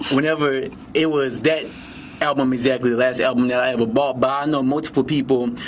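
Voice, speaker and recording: Noticeable background noise surrounds a man speaking at a very fast pace. His medium-pitched voice keeps fairly even intonation. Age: 20s. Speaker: college student. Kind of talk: podcast interview.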